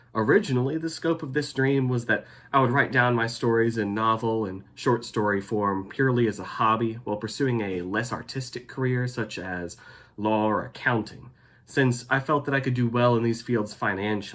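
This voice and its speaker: In a very clean recording with a silent background, a man with an American accent speaks at medium pitch and a moderate pace, with ordinary pitch variation. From Texas, Denton. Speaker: graduate student. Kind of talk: scripted narration.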